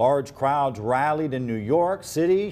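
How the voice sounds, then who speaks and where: Speaking with an American accent at a fairly slow pace, a man uses an ordinary speaking voice. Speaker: TV news anchor and reporter. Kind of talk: studio news anchor read.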